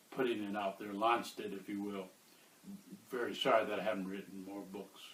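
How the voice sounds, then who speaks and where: A man talks at a fairly quick pace in an American accent. His intonation is monotone and flat, with audible room echo. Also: fairly low pitch for a man. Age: 70s. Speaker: author and activist. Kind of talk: interview. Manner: halting, many filler uhs.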